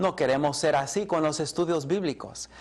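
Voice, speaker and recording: A man's fairly high-pitched voice. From Colombia, English-speaking home. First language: English (speaking Spanish). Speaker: Bible teacher. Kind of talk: lecture.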